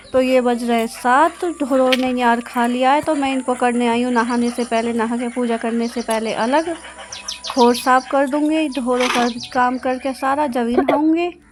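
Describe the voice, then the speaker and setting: A woman's high-pitched voice at a fairly slow pace, with fairly even intonation and noticeable background noise. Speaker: vlogger, housewife. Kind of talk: vlog narration. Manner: casual.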